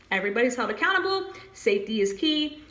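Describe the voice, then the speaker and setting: Noticeable background noise runs under the speech. The pitch swings very widely. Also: woman. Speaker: HR exam tutor. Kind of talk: tutorial. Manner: animated.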